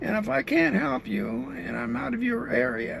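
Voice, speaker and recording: A man's voice over noticeable background noise. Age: 70s. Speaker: driver and street interviewer. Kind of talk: direct address to camera. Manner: halting.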